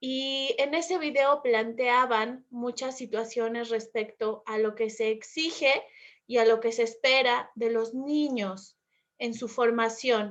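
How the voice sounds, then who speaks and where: A woman's fairly high voice, very slow and fairly even in intonation. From Mexico. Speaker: Spanish teacher. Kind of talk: conversational debate. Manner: fluent, articulate.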